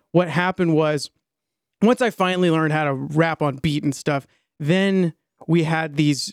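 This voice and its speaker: The sound is dry and close, with no echo. A man with an American accent talks at fairly high pitch, with ordinary pitch variation. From US Mid-Atlantic, Maryland suburbs. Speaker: musician and content creator. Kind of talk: podcast interview.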